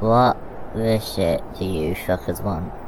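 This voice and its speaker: Over loud background noise, a man puts on a character voice that is very deep and low, speaking at a fairly slow pace. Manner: hostile, rude.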